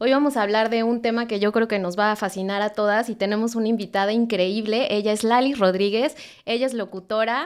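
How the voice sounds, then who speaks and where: A woman with a normal speaking voice talks at a fairly quick pace and fairly high pitch, her intonation fairly even and loudness very even. The recording is very clean, with a silent background. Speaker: podcast host. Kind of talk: podcast host intro and interview questions.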